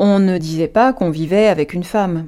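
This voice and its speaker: On a very clean recording with a silent background, a woman speaks at a medium pitch. Her tone is dark and mellow, with ordinary pitch variation. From Paris suburbs, France. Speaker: dancer and writer. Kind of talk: personal testimony. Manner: hesitant, frequent fillers.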